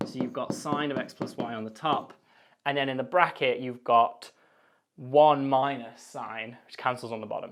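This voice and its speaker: A man with a plain, everyday voice speaks at a moderate pace and a medium pitch, his intonation fairly even while his loudness swings widely. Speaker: maths lecturer. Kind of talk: tutorial.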